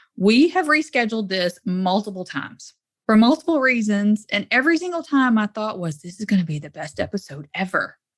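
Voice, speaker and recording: A woman in a Southern US accent, animated and somewhat breathy, at a fairly high pitch with very wide pitch swings, big swings in loudness, a fairly quick pace and hardly any pauses. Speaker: podcast host. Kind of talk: podcast interview.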